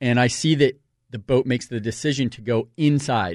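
A man speaks in a normal speaking voice at a medium pitch and a moderate pace. The background is quiet. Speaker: radio host. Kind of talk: casual chat. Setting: studio.

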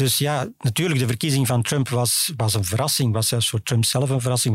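This man talks at a fairly quick pace in a medium pitch. His voice is somewhat breathy. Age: 60s. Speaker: foreign affairs journalist. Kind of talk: interview. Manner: calm, composed; hesitant, with fillers.

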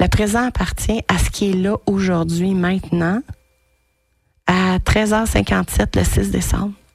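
A woman with a Quebec accent speaks at a very slow pace, leaving long, frequent pauses. Her loudness stays very even. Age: 40s. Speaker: radio host. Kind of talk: casual monologue. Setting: studio. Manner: animated.

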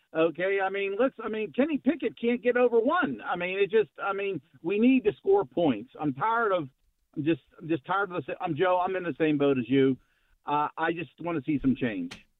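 Pitched high, a man talks at a moderate pace with very wide pitch swings. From Pittsburgh area. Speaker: caller. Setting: phone call.

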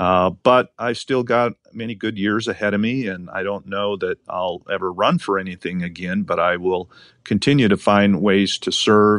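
Against a quiet background, a man with an American accent and a plain, everyday voice talks at a moderate pace with fairly low pitch, fairly even intonation, hardly any pauses, and a dry, close sound with no echo. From Montana. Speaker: state attorney general. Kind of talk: interview.

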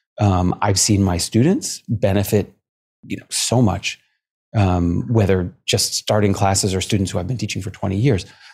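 Somewhat breathy and fairly low in pitch, a man talks at a moderate pace with fairly even intonation. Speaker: martial arts and meditation teacher. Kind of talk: casual interview. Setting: video call. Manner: calm, soothing.

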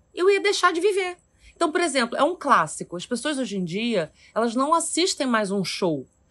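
With very wide pitch swings, a woman with a high voice speaks over a quiet background. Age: 40s. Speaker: actress. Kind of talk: casual chat.

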